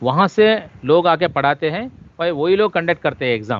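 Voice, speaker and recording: A man's voice with ordinary pitch variation. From South India. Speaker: official language officer and trainer. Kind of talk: lecture. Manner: halting, mixes English into Hindi.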